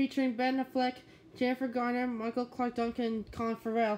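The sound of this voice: The voice moves at a fairly quick pace with a slightly mellow tone and monotone, flat intonation.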